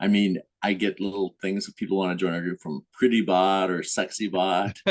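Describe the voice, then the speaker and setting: Speaking with an American accent, a man with a very deep, low pitch talks at a moderate pace in a flat monotone, with a dry, close sound and no echo. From Colorado. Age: 70s. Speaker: mountaineer. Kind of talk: interview.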